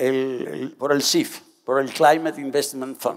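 The background is quiet as a man talks at a very slow pace. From Dominican Republic. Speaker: government climate official; public council panelist. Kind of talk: panel discussion. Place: stage. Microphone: headset.

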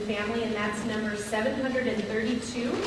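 Room echo is audible, with noticeable background noise. A woman speaks with fairly even intonation. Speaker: pastor. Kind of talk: announcements at a memorial service. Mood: warm, gentle. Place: church.

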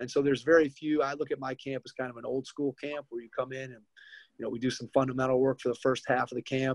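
A man speaks very fast in an American accent, his intonation monotone and flat. The background is quiet and the sound is dry with no echo. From Ohio. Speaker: basketball camp owner and podcast host; podcast host. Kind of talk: interview.

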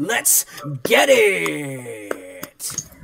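A man performs in a put-on character voice. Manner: hyped, energetic.

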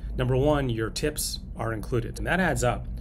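There is noticeable background noise behind a man who is speaking. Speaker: travel vlogger. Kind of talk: casual review chat. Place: boat. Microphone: phone near.

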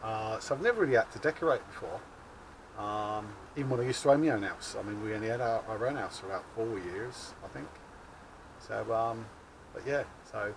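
Amid noticeable background noise, a man speaks at a fairly quick pace with big swings in loudness. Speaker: allotment vlogger. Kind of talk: casual vlog chat. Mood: chatty, apologetic. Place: garden. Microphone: phone near.

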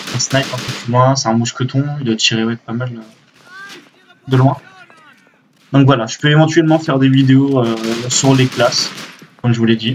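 Against noticeable background noise, a man speaks at a moderate pace in a flat monotone, with long, frequent pauses. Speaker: gaming youtuber. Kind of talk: casual gameplay commentary. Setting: recorded at PC, game audio in background. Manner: halting, hesitant, many fillers. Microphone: webcam.

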